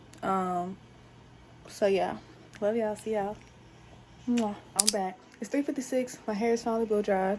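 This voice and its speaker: Her pace is moderate, broken by long, frequent pauses. The woman's pitch sits fairly high, with fairly even intonation. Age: 20s. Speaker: lifestyle vlogger. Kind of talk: vlog narration to camera. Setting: outdoors at a fair. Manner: casual.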